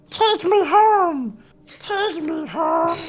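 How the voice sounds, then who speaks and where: A squeaky, extremely high-pitched, put-on character voice. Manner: telepathic, urgent.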